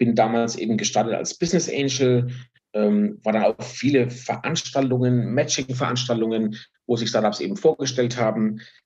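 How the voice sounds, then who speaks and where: A man with medium pitch, a moderate pace, ordinary pitch variation and an ordinary speaking voice. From Franconia, Germany. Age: 50s. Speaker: finance executive and fund founder. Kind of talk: casual interview.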